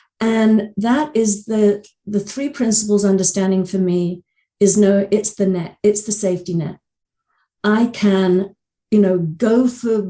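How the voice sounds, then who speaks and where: A woman's fairly slow, somewhat breathy voice, medium in pitch, with a dark, mellow tone. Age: 60s. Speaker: coach and author. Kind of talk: podcast interview. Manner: halting, many repeated words and fillers.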